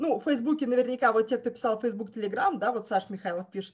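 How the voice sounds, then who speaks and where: Her voice is fairly high in pitch, and this woman uses lively intonation. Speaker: project manager and trainer. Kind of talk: webinar presentation. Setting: online webinar with screen sharing. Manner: hesitant, with filler sounds.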